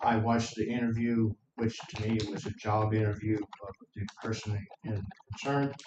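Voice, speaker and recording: A man speaks at a medium pitch with a monotone, flat intonation. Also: moderate pace. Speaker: member of the public, military veteran. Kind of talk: public comment at county meeting. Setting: county commission meeting in courthouse. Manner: loud.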